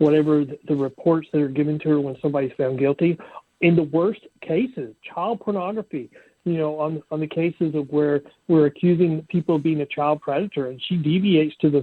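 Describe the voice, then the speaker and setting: A man talks in a normal speaking voice, fairly high-pitched for a man, with ordinary pitch variation. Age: 60s. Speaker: bail bondsman. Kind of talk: podcast interview.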